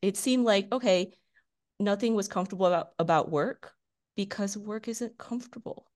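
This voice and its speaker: Against a quiet background, a woman speaks at medium pitch with ordinary pitch variation. It is a plain, everyday voice. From China, moved to US at age seven. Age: 30s. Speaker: veterinarian. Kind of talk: interview, personal story.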